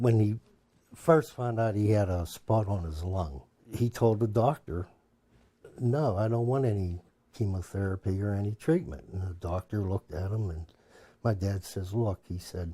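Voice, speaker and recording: A man's fairly low, somewhat breathy voice with a dark, mellow tone, ordinary pitch variation and a moderate pace, on a very clean recording with a silent background. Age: 60s. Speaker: family caregiver. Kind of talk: documentary interview.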